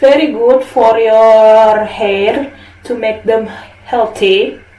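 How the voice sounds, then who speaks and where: A woman's very slow, fairly high-pitched speech in an Indonesian accent, with noticeable background noise and audible room echo. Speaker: beauty product vlogger. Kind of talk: product review. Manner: casual, halting non-native English.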